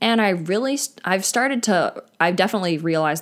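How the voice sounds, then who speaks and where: Speaking at medium pitch, a woman has a normal speaking voice with lively intonation and a moderate pace. The recording is very clean, with a silent background. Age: 20s. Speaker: podcaster. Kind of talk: personal monologue. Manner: casual, filler-heavy.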